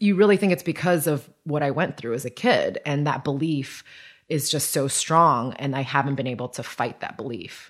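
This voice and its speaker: A woman with an American accent speaks at a moderate pace with a very deep, low pitch and lively intonation. The recording is very clean, with a silent background. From US, raised by grandparents in Taiwan till five. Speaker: podcast host. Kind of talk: casual chat.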